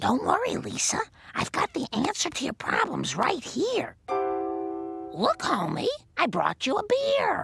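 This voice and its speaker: An extremely high, cartoonish character voice speaks at a fairly slow pace. Faint music plays in the background. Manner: gentle, warm.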